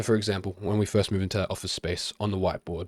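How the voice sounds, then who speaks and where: On a very clean recording with a silent background, a man speaks very fast in a monotone with flat intonation. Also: dry, close sound with no echo. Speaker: freelance videographer and business coach. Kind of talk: tutorial. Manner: casual, many fillers.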